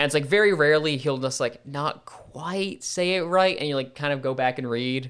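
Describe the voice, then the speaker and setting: A man speaks at a moderate pace in a fairly high pitch, with hardly any pauses. His pitch varies in an ordinary way. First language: French. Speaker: podcast co-host. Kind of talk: casual chat.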